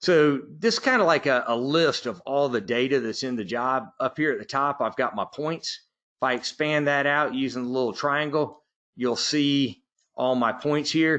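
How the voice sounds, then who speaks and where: In a quiet background, a man speaks with a Southern US accent. His pitch is fairly high, with ordinary variation. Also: moderate pace. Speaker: software trainer. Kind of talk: webinar tutorial. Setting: online webinar.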